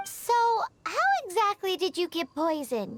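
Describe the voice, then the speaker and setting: A squeaky, put-on character voice pitched extremely high. It moves at a moderate pace. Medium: video game. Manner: inquisitive.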